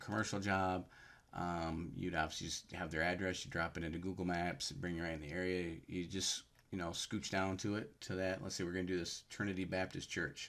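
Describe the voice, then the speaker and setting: Very clean audio of a man speaking in a very deep, low register, with total silence behind him. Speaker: power washing business youtuber. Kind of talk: tutorial. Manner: fast; casual, halting with fillers.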